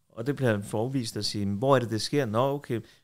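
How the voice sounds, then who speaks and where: The background stays quiet. This man's delivery keeps a moderate pace. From Denmark, Copenhagen (Tingbjerg); Denmark. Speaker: defence lawyer. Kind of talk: casual interview. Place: home room. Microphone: studio mic.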